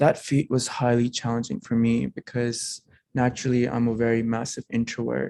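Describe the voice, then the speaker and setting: Against a quiet background, a man with a non-native accent speaks at medium pitch and a moderate pace in a dark, mellow tone, with monotone, flat intonation and a dry, close sound with no echo. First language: not English. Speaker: alumni speaker sharing immigrant story. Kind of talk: testimony speech. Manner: formal.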